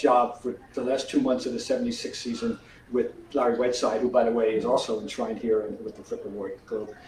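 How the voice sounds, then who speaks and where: A man speaks fairly quickly while noticeable background noise and audible room echo fill the recording. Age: 70s. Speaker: sportswriter and author. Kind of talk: author talk, conversational interview. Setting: theater with live audience. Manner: animated.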